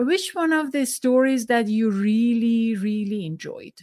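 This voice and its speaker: Spoken in a Persian accent at a fairly slow pace, the voice has lively intonation. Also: woman. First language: Farsi. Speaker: podcast host. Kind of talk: interview. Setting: video call. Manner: halting.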